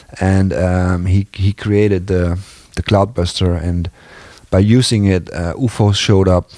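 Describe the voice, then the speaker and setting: A man with a non-native accent speaks in a very deep, low voice with a dark, mellow tone. His intonation is monotone and flat, and the sound is dry and close with no echo. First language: not English. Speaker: video blogger. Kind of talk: casual monologue. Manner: halting.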